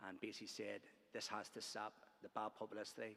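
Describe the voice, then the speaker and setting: In a Belfast accent, a man with a fairly low pitch speaks at a fairly quick pace in a bright, sharp tone. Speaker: trade union organiser. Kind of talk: conference speech. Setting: conference hall. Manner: hesitant, many fillers.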